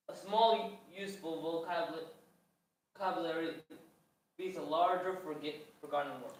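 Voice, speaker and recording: There is audible room echo around a man speaking at a fairly slow pace. His pitch is high. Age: young. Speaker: co-host of English lessons. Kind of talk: live-stream language lesson. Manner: halting.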